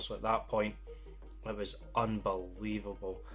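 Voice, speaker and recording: A man speaks in a Scottish accent with music playing in the background. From Scotland. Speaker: comic book reviewer. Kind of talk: casual comic review talk to camera. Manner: enthusiastic.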